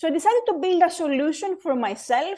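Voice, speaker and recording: A woman with a Greek accent at a fairly quick pace, very wide pitch swings, over a quiet background. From Greece, Athens. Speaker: board club founder, former lawyer. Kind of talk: interview. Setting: video call.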